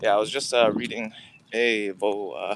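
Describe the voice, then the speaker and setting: A man talks in a normal speaking voice at a fairly slow pace. His intonation stays fairly even. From Canada. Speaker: founder live streamer. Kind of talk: casual live stream chat. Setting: outdoors.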